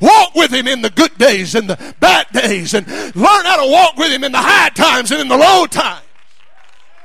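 Noticeable background noise under speech delivered at a moderate pace. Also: man. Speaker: preacher. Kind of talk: sermon. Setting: church. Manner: animated; loud.

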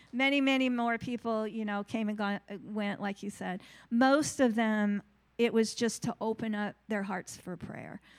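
A woman's fairly high voice, an ordinary speaking voice with fairly even intonation, in a very clean recording with a silent background. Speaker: congregation member giving testimony. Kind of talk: testimony.

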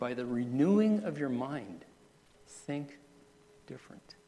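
A man with a dark, mellow tone talks at a fairly slow pace, his pitch swinging very widely. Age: 60s. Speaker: pastor. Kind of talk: sermon. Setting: church.

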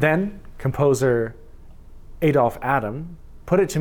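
An unremarkable speaking voice from a man in a Canadian accent, with a fairly high pitch and lively intonation. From Saskatchewan, Canada. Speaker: pastor. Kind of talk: sermon.

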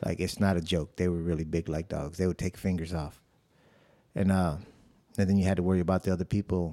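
A man with a very deep, low pitch and a dark, mellow tone, in an American accent, monotone and flat, at a very fast pace broken by long, frequent pauses, on a very clean recording against a silent background. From South Side of Chicago. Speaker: church member sharing his testimony. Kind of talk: testimony. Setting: studio.

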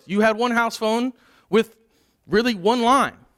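Recorded very cleanly against a silent background, a man talks at a moderate pace with a bright, sharp tone and a dry, close sound free of echo. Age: 30s. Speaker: pastor. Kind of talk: sermon. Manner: halting, with frequent word repetitions.

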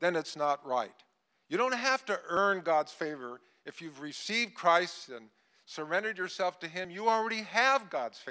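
This man has a high pitch and a bright, sharp tone, and he talks at a fairly quick pace with lively intonation. The recording is very clean, with a silent background. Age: 80s+. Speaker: visiting preacher and leadership coach. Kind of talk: sermon. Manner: energetic.

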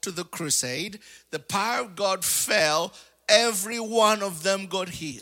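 A man's raised, projected voice at a high pitch. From Africa. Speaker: preacher. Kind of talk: sermon. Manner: animated.

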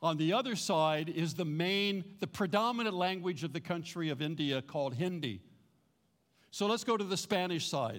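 A man with an American accent, high-pitched and lively in intonation, at a moderate pace with audible room echo. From US West Coast, Los Angeles. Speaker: pastor. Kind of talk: sermon. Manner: animated.

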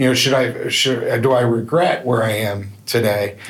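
Man with medium pitch at a moderate pace, audible room echo around him. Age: 50s. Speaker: youth minister. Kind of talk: testimony. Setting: men's breakfast event with audience.

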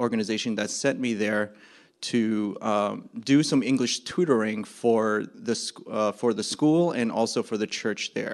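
In an ordinary speaking voice, a man speaks with an American accent at a moderate pace. His pitch is medium with ordinary variation, and the background is quiet. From New Jersey. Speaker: missionary. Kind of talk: testimony. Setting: church stage with audience.

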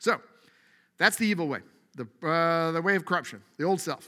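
On a very clean recording with a silent background, a high-pitched man with a bright, sharp tone talks at a very fast pace. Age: 40s. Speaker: pastor. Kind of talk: sermon. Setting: church. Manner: casual, conversational.

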